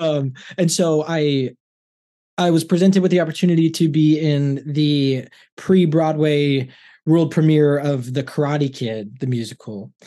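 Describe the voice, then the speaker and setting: A man's fairly high voice at a fairly slow pace, ordinary pitch variation, a quiet background, an ordinary speaking voice. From Los Angeles. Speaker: stage and screen actor. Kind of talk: casual interview.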